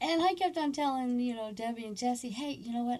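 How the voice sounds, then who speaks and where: A woman speaks with an American accent and lively intonation. Her tone is dark and mellow, somewhat breathy. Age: 60s. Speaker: army veteran. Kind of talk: personal storytelling. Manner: halting, many fillers.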